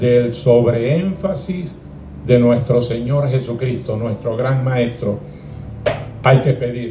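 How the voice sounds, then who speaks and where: Over noticeable background noise and audible room echo, a man speaks very slowly at a medium pitch with ordinary pitch variation. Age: 60s. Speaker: pastor. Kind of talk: sermon.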